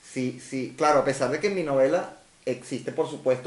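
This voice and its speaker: Amid noticeable background noise, a man with a Venezuelan accent talks at a fairly quick pace in a medium pitch with ordinary pitch variation. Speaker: science fiction novelist. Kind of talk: interview answer.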